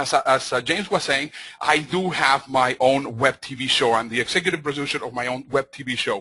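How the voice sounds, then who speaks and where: A man with a Spanish accent speaks fairly quickly in a fairly high voice with a bright, sharp tone and ordinary pitch variation. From Mexico. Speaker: motivational speaker. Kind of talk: conference talk. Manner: fast; animated.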